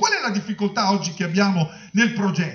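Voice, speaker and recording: An animated tone carries through audible room echo and light background noise. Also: man. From Romagna, Italy; Italy. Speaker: health authority director; speaker. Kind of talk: panel discussion. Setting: conference hall with audience. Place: hall. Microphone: handheld.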